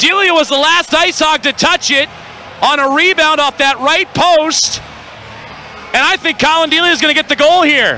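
A man projects a raised voice at an extremely high pitch with very even loudness. He talks at a moderate pace over noticeable background noise. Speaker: hockey play-by-play announcer. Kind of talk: live sports commentary. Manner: animated, rising in pitch on goals.

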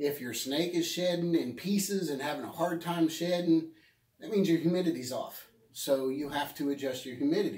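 Over a quiet background with audible room echo, a man talks at a moderate pace with ordinary pitch variation. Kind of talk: casual vlog advice. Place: shop. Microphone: phone near.

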